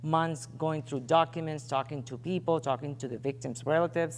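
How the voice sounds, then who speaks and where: With a Puerto Rican accent, a woman talks at a fairly quick pace in a very deep, low voice with ordinary pitch variation. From Puerto Rico. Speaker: investigative journalist and editor. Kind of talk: interview on stage. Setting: stage with audience. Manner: conversational, with fillers.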